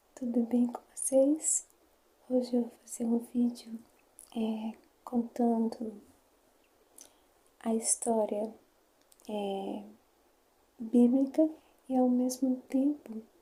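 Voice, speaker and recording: Very slow and full of long, frequent pauses, a woman speaks at a high pitch with monotone, flat intonation. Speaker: ASMR creator. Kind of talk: ASMR bible story reading. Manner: whispering; soft-spoken.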